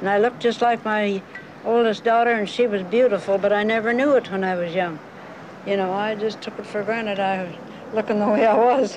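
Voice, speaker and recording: Noticeable background noise sits behind this woman's voice. She talks at a fairly quick pace with a fairly high pitch. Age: 80s+. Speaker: folk artist. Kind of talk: casual documentary interview. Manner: lively, witty. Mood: chatty, humorous reminiscing.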